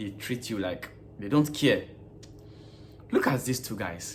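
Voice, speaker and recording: This is a man speaking with an African accent. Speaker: vlogger and gas station worker. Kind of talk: casual vlog monologue.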